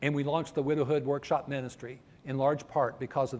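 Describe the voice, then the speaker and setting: A man with an American accent and an ordinary speaking voice talks fairly quickly at a fairly high pitch. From northern US. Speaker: preacher. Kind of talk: sermon.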